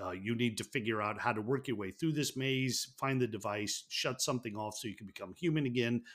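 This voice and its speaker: A man talks in a plain, everyday voice at a medium pitch. His pace is fairly quick, and the recording is very clean with a silent background. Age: 50s. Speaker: podcast co-host. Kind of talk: casual chat.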